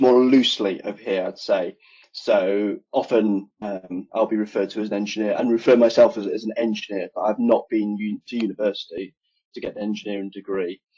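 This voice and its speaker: In an English Midlands accent, a man talks at a fairly quick pace with fairly even intonation. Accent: British (English Midlands). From England, Nottingham (East Midlands). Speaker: HVAC engineer. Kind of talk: podcast interview.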